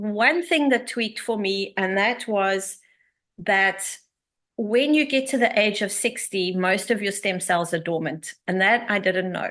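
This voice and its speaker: Lively intonation from a woman with a fairly high pitch and a bright, sharp tone, fairly slow in pace, against a quiet background. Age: 60s. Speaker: empowerment coach and network marketer. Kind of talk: online presentation. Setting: video call.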